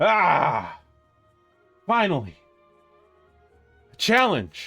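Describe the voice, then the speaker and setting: A man's put-on character voice, raised and projected, with faint music in the background. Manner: haphazard, cheerfully boastful.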